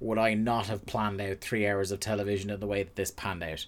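With an Irish accent, a man talks at a fairly quick pace in a fairly low pitch, captured in a very clean recording with a silent background. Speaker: podcast host. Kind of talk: casual chat. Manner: fast.

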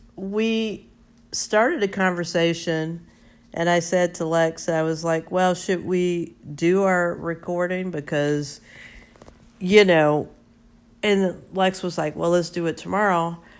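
A woman talks at a very slow pace. Her fairly low voice keeps a fairly even intonation. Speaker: podcast co-host. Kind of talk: casual chat. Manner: laughs often.

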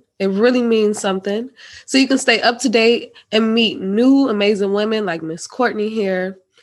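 A woman with an ordinary speaking voice talks at a moderate pace, fairly high in pitch with ordinary pitch variation. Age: 20s. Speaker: podcast host. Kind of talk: casual interview chat.

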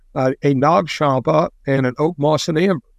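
With an American accent and an ordinary speaking voice, a man of fairly high pitch speaks at a fairly slow pace with ordinary pitch variation, in a dry, close sound with no echo. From US Midwest (rural Indiana). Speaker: business founder. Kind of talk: casual interview.

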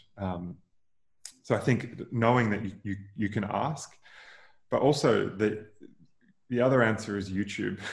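Speaking with an Australian accent, a man talks at a fairly low pitch and a fairly slow pace, with ordinary pitch variation and long, frequent pauses. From Queensland, Australia (rural, near Noosa). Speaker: venture capital investor and former startup founder. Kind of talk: interview conversation.

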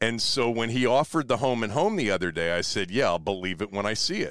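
On a very clean recording with a silent background, a man talks at a very fast pace, medium in pitch, with lively intonation. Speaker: sports radio host. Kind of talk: casual chat. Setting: in a van.

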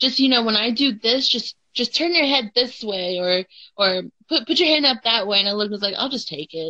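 Bright, sharp tone from a woman at medium pitch and moderate pace. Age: 20s. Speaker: professional wrestler. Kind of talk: casual chat.

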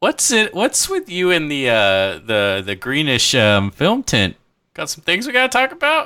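Speaking at a fairly slow pace, a man has a fairly high pitch with very wide swings. His tone is bright and sharp. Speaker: podcast co-host. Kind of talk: casual chat. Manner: joking.

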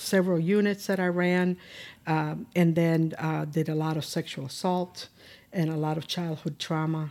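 A woman with a Spanish accent speaks at a moderate pace in a dark, mellow tone. Her intonation is monotone and flat, on a very clean recording with a silent background. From Cuba, Pinar del Rio. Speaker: state social services commissioner. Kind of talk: interview. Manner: halting, many fillers.

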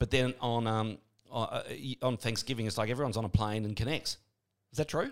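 This man has an Australian accent and a medium pitch. He talks at a fairly quick pace with ordinary pitch variation. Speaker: podcast host and radio presenter. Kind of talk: interview. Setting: studio. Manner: animated.

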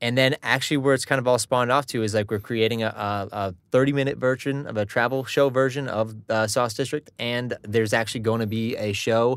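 This man has a plain, everyday voice, moving at a fairly quick pace with fairly even intonation. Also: medium pitch for a man. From US Northeast, Connecticut (born Long Island). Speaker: hockey player and music video singer. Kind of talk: casual chat.

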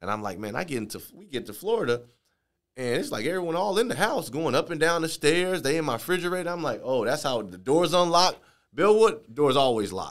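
A man with fairly high pitch and vocal fry swings very widely in pitch and greatly in loudness. The recording is very clean, with a silent background. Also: fairly quick pace. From Chicago, Illinois. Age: 30s. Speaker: entrepreneur, podcast host. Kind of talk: casual monologue.

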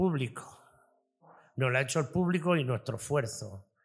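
With ordinary pitch variation and a fairly high pitch, a man speaks at a moderate pace in an unremarkable speaking voice. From Almería province, Spain. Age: 40s. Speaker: restaurant owner. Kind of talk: interview. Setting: in his restaurant.

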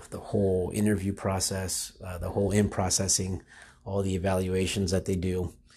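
A man talks at a moderate pace in a fairly low, somewhat breathy voice with a dark, mellow tone. The recording is very clean, with a silent background. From Florida. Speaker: lawyer. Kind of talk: interview monologue. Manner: halting.

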